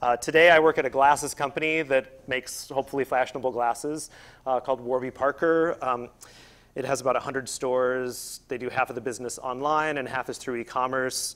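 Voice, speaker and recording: Fairly quick pace and fairly even intonation. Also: man. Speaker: speaker. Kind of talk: lecture. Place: hall. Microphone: lapel.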